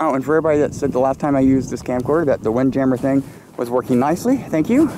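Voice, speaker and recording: Noticeable background noise runs through the clip. The sound is dry, with no echo. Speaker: travel vlogger. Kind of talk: casual vlog commentary. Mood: awed, enthusiastic. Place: open country. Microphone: phone near.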